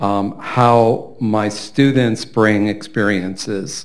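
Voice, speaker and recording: This is an unremarkable speaking voice with fairly even intonation. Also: man. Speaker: literature professor, audience member. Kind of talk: audience question. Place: hall.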